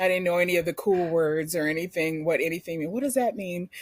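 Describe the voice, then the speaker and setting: A woman at a fairly quick pace with a Philadelphia accent, her pitch medium. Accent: Philadelphia urban. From US, North Philadelphia. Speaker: podcast guest. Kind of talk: casual chat. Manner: animated.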